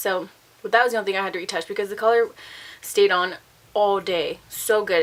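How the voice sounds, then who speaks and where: A woman's fairly high, animated voice at a very fast pace, with ordinary pitch variation. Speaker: beauty vlogger. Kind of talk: casual product review.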